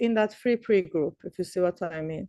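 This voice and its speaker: In a Persian accent, the speaker has a dark, mellow tone and lively intonation, with a dry, close sound and no echo. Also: woman. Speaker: professor. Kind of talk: lecture.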